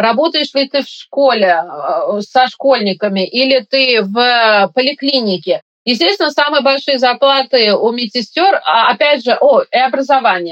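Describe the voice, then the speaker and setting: The voice moves at a fairly slow pace with very even loudness. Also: woman, high pitch for a woman, lively intonation. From Uzbekistan, Tashkent. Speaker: operating room nurse. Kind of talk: interview.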